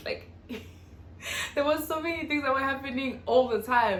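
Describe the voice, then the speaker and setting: A woman speaks at a high pitch. Audible room echo and noticeable background noise fill the recording. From South Africa, North West. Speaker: YouTuber. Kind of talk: casual vlog Q&A. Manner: fast.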